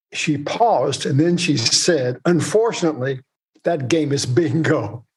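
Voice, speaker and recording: Very slow and somewhat breathy, a man with an American accent speaks in a fairly high pitch with ordinary pitch variation. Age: 80s+. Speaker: author and retired investment executive. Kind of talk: podcast interview.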